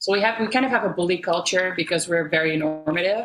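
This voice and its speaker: Speaking at a very fast pace, a woman with a Dutch accent uses a fairly low pitch. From Netherlands. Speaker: musician. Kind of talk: casual chat.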